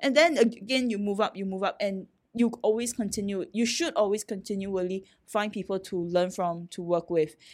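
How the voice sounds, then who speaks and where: Here is a woman with an ordinary speaking voice, pitched at a medium level. Her pace is moderate, and her pitch varies in an ordinary way. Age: 40s. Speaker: startup CEO, former magazine editor. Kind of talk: interview conversation.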